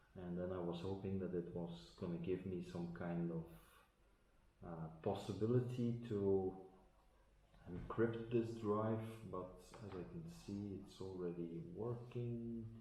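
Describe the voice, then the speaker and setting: A man speaks in a very deep, low pitch at a fairly slow pace, with ordinary pitch variation. Long, frequent pauses break up his speech, and audible room echo surrounds it. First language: Dutch. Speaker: tech unboxing vlogger. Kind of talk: tutorial. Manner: halting, many fillers.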